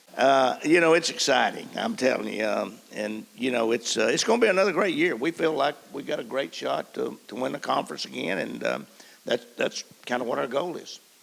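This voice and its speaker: A man talks rather quickly, with noticeable background noise behind him. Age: 70s. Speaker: basketball coach. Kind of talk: panel discussion. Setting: stage with audience.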